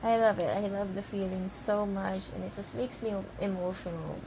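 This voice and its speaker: A woman with a non-native accent speaks at a medium pitch. Her intonation is monotone and flat, and her pace is fairly slow. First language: not English. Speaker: fan vlogger. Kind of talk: casual vlog monologue. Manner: halting, stammering; rambling, emotional.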